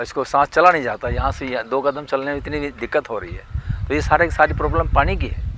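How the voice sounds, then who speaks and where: A man talking at a fairly high pitch is heard with noticeable background noise. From western Uttar Pradesh, Ghaziabad village. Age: 70s. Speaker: local villager. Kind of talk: street interview.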